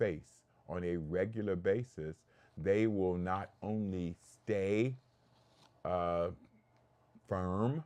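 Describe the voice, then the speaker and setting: A man speaks at a very slow pace in a very deep, low voice. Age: 70s. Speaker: health educator and show host. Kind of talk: talk show lecture. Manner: animated.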